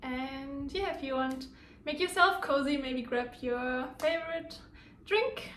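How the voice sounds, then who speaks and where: A woman with a German accent speaks at a very slow pace and a high pitch. Her pitch varies in an ordinary way, and the room echo is audible. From Germany. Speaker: lifestyle vlogger. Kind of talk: personal storytelling vlog. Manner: casual, with hesitations.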